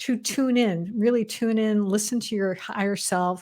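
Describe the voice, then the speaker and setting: A woman speaks at a fairly slow pace with fairly high pitch and fairly even intonation. She has a plain, everyday voice. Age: 60s. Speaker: spiritual alignment coach. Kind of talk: interview.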